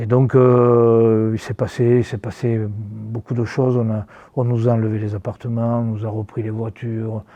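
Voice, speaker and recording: A man's medium-pitched, monotone voice with flat intonation at a fairly slow pace. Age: 60s. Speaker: football coach. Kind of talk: interview. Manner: halting, many repetitions.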